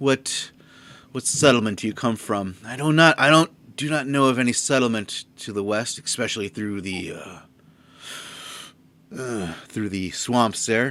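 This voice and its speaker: Putting on a gruff character voice at a medium pitch, a man speaks at a moderate pace with long, frequent pauses. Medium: actual play. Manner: gruff, matter-of-fact.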